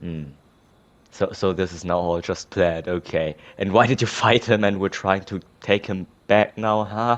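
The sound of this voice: At a fairly slow pace, a man speaks in a low voice with little pitch movement.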